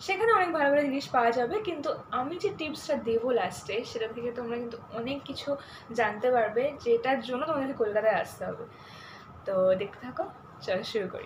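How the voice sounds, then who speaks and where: Noticeable background noise sits behind a woman speaking in a high voice with lively intonation. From West Bengal, Bally near Kolkata; West Bengal. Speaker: YouTuber. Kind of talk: casual vlog. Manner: animated. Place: home room. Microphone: phone near.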